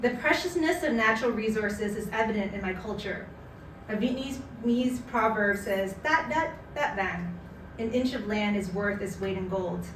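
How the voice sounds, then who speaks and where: A woman with a fairly high pitch talks at a moderate pace with lively intonation over noticeable background noise. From Canada. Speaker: spoken word artist. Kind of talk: personal essay reading at a live community event. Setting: live event.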